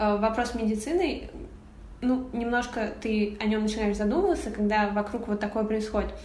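A woman's fairly high-pitched voice with ordinary pitch variation at a moderate pace, with audible room echo and noticeable background noise. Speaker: photographer. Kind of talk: interview. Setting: remote call.

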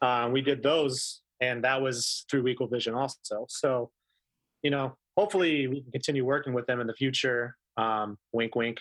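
A man with an American accent and an unremarkable speaking voice talks at medium pitch and a moderate pace with fairly even intonation, in a dry, close sound with no echo. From Denver, Colorado. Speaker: documentary director. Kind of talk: casual interview chat.

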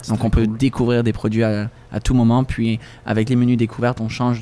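Very fast and in a monotone, flat intonation, a man talks at a medium pitch with a dark, mellow tone. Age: 20s. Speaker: sommelier. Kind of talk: casual chat.

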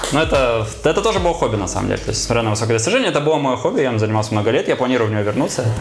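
A man talking at a very fast pace with hardly any pauses, plus noticeable background noise and audible room echo. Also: medium pitch for a man, ordinary pitch variation. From Murmansk Oblast, northern Russia. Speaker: board game shop owner. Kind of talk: casual podcast interview.

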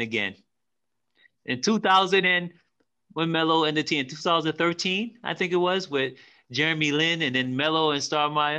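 A man talks at a moderate pace with a fairly high pitch and a bright, sharp tone.

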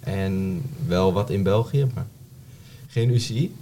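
A man's fairly low, dark, mellow voice, somewhat breathy, with ordinary pitch variation. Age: 20s. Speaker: amateur road cyclist. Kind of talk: casual chat.

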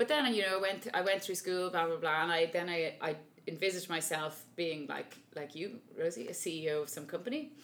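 In a Dublin accent, a woman with a fairly low voice talks at a fairly quick pace with hardly any pauses and ordinary pitch variation. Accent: Dublin Irish. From Dublin, Ireland. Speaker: opera singer. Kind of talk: casual interview chat.

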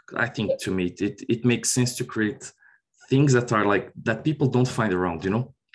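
In a Portuguese accent, a man speaks at a moderate pace and medium pitch, with ordinary pitch variation against a quiet background. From Brazil. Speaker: software consultant. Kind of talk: interview.

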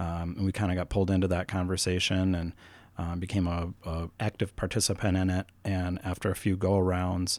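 A very deep, low male voice with an American accent, monotone and flat, at a fairly quick pace, on a very clean recording with a silent background. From northeastern Minnesota. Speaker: broadband cooperative partnership manager. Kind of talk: interview. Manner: halting, many fillers.

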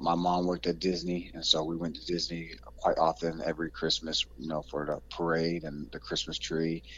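The voice has an American accent. It runs on with hardly any pauses. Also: man, very deep, low pitch for a man, ordinary pitch variation, moderate pace. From Central Florida (Kissimmee). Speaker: former college basketball player. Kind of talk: interview.

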